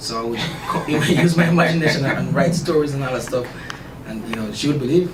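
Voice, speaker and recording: A man with a Jamaican accent speaks at a very fast pace with ordinary pitch variation. Audible room echo and noticeable background noise are present. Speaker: author. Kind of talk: radio interview.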